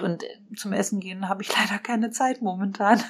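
A woman talks in an unremarkable speaking voice at a medium pitch. Her intonation is fairly even and her pace moderate. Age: 30s. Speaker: dentist and practice owner. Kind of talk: podcast interview.

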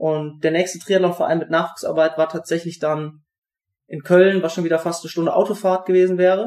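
A high-pitched man at a fairly quick pace, his intonation monotone and flat. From Siegerland, North Rhine-Westphalia, Germany. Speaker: professional triathlete. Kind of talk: interview.

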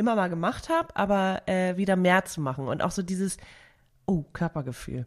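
Lively intonation marks a woman's ordinary speaking voice at medium pitch. She talks at a moderate pace. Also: very clean recording, silent background. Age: 30s. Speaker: podcast host. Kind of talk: casual chat.

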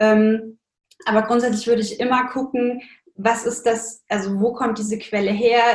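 A woman's fairly high voice, fairly slow, with monotone, flat intonation. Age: 20s. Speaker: nutrition science student and blogger. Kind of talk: casual interview.

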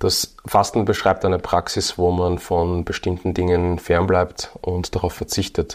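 This man's very deep, low voice stays monotone and flat, at a fairly slow pace with hardly any pauses and very even loudness. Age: 30s. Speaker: fitness and nutrition entrepreneur. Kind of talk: casual chat.

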